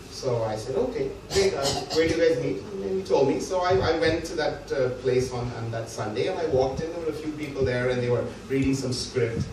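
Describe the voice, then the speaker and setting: Amid noticeable background noise and audible room echo, a man with an American accent talks at a very fast pace in a fairly high voice. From Canada, Montreal. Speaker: stage actor and theatre director. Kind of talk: live interview conversation. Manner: hesitant, many fillers and repeats.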